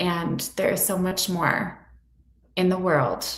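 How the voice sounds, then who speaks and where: A woman with an American accent talks at a fairly slow pace in a fairly low, somewhat breathy voice. Audible room echo surrounds her. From US Midwest, Illinois. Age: 30s. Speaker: therapist. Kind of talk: interview. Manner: gentle, reassuring.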